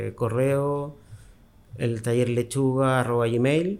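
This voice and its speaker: This man has a normal speaking voice at a medium pitch. His intonation is fairly even. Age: 50s. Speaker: costume designer and tailor. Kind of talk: interview. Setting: his workshop.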